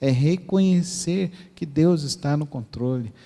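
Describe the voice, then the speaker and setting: Speaking at a very slow pace in a Mato Grosso do Sul accent, a man with a high pitch and a dark, mellow tone shows ordinary pitch variation. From Mato Grosso do Sul, Brazil (Dourados). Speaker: pastor. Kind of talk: sermon.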